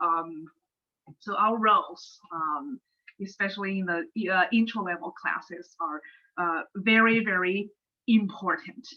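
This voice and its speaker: A woman with a Chinese accent at a fairly slow pace, medium in pitch with ordinary pitch variation and long, frequent pauses. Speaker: economics professor. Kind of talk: webinar talk. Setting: online webinar. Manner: halting, many fillers.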